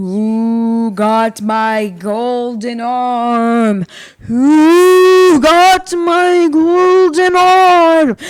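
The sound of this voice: Delivered at a very slow pace, this put-on character voice sits fairly high in pitch.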